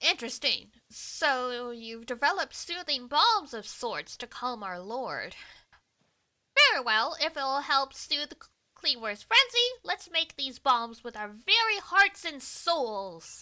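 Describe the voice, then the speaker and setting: A woman in a put-on character voice, high-pitched for a woman, with very wide pitch swings, big swings in loudness, and a fairly slow pace. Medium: virtual streamer. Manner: formal, dignified.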